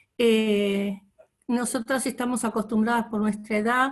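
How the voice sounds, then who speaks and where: Her voice is fairly high and somewhat breathy. The woman keeps a monotone, flat intonation. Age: 60s. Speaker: course participant. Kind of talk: testimony.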